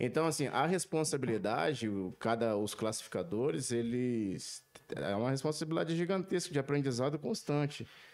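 A man with an ordinary speaking voice keeps a very even loudness and lively intonation on a very clean recording with a silent background. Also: medium pitch for a man, moderate pace. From Brazil, Minas Gerais (Zona da Mata). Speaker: coffee quality specialist. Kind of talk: casual chat. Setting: studio.

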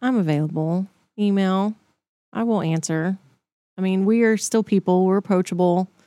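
In a Texan accent, a woman with a dark, mellow tone and medium pitch speaks at a moderate pace with very even loudness, fairly even intonation and long, frequent pauses, in a dry, close sound with no echo on a very clean recording with a silent background. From Texas, Dallas area. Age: 40s. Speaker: city mayor. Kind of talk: casual interview.

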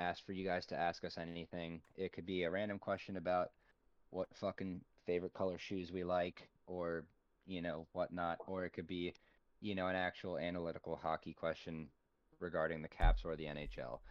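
The voice moves at a fairly quick pace in a monotone, flat intonation. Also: man, very deep, low pitch for a man. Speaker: hockey podcast host. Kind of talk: casual chat. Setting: home office. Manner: quieter than normal.

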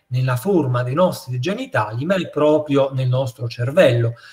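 The voice moves at a fairly quick pace, somewhat breathy and with lively intonation. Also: man. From Naples, southern Italy. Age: 50s. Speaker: psychiatrist. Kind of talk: interview.

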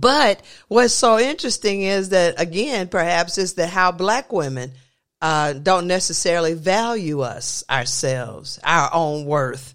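On a very clean recording with a silent background, the words come at a fairly slow pace. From US South. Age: 50s. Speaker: podcast host, college lecturer. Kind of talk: casual chat. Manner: halting, many fillers.

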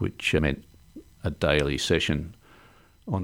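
A man talks in an Australian accent at a moderate pace. Vocal fry runs through his voice. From Melbourne, Australia. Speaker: cancer survivor. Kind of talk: casual interview.

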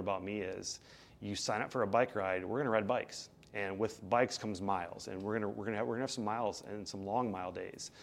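An unremarkable speaking voice from a man, fairly low-pitched, fairly quick, and fairly even in intonation. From Iowa. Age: 40s. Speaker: bike ride director. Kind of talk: casual interview.

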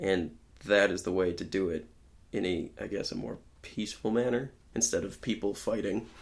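Moderately paced speech from a man, an ordinary speaking voice, pitched fairly low, its pitch varying in an ordinary way. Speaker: podcast guest. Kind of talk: casual chat.

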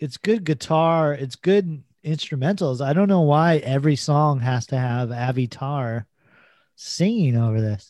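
An ordinary speaking voice with lively intonation moves at a fairly slow pace on a very clean recording with a silent background. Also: man, fairly high pitch for a man. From US, Mexican-American. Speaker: podcast co-host. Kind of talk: casual chat.

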